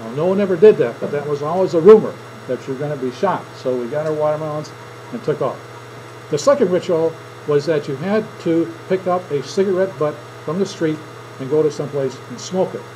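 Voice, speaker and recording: A fairly high-pitched man with an American accent at a fairly quick pace, over noticeable background noise. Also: ordinary pitch variation. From southern Minnesota. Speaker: teacher. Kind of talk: classroom speech demonstration. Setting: classroom with audience. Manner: conversational storytelling.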